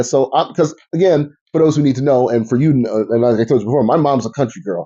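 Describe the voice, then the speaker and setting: A man with an American accent, medium pitch, ordinary pitch variation and a fairly quick pace. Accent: occasional slight Southern twang. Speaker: podcast host and fashion designer. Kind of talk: casual chat.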